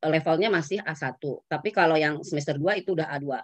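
A woman's voice comes through dry with no echo over a quiet background. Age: 50s. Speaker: university lecturer of Japanese. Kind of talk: lecture. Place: home room. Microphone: video call.

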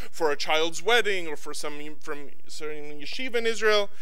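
Ordinary pitch variation from a man at a moderate pace. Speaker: rabbi giving a eulogy. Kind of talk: eulogy. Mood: warm, fond remembrance. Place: hall. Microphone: podium.

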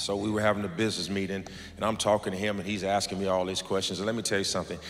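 Over light background noise, a man talks in a flat monotone at a fairly low pitch. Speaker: pastor. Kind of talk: sermon. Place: church. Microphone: handheld.

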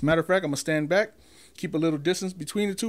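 A man with a high voice is heard on a very clean recording with a silent background. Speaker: YouTuber reviewing microphones. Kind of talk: product review video. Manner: casual, conversational.

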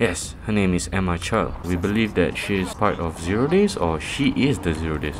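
A man talks with lively intonation at a very deep, low pitch. Noticeable background noise is present. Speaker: gaming YouTuber. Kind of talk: gameplay commentary. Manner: animated.

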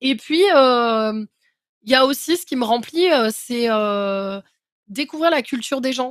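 A woman with a high voice talks very slowly, her pitch varying in an ordinary way. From France, Cévennes. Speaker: content creator, van traveller. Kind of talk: casual chat. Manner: halting.

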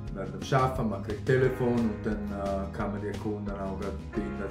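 A man with a Graubünden accent, fairly low in pitch, at a fairly quick pace, with ordinary pitch variation and music in the background. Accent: Graubünden Swiss German dialect. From Graubünden, Switzerland. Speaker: field sales representative. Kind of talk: employee interview answer. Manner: casual, hesitant.

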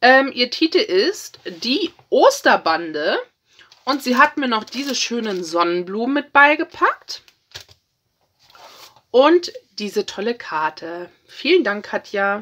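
Bright and sharp in tone, a woman speaks slowly at a fairly high pitch. Her pitch swings widely.

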